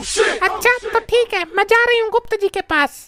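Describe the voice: A woman speaks in a cartoonish character voice at an extremely high pitch. The sound is dry and close, with no echo. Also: moderate pace.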